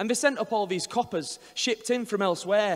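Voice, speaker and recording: A man speaks with ordinary pitch variation at a moderate pace. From Northern England. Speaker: performance poet. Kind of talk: poetry reading. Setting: live venue. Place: hall. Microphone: handheld.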